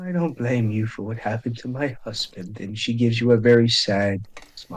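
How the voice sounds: Reading in a natural voice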